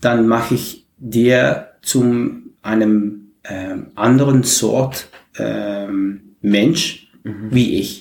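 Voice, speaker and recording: Very slow speech in a Dutch accent, fairly even in intonation, with audible room echo. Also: man, medium pitch for a man. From Netherlands, Maastricht. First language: Dutch (speaking German). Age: 40s. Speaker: community organizer. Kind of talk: interview. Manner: halting.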